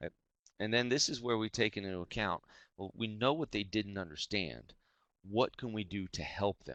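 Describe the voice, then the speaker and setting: Speaking at a fairly low pitch, a man lets his voice vary in an ordinary way. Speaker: teacher leading a webinar. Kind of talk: webinar presentation. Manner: fast.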